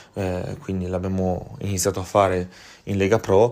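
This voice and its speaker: Speaking at a fairly quick pace, a man has a very deep, low voice with a dark, mellow tone. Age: 20s. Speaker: football podcast host and sports journalist. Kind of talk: personal reflection monologue. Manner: hesitant, many fillers.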